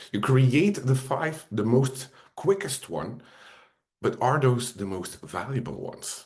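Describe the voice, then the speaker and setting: A fairly slow man with a non-native accent, medium pitch, lively intonation and a somewhat breathy voice. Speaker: software trainer. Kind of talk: webinar presentation. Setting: video call webinar.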